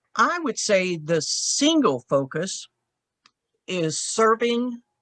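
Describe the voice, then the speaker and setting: A woman with a Southern US accent, in a dry, close sound with no echo. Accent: Southern drawl. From rural Texas. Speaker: church women's league leader. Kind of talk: interview.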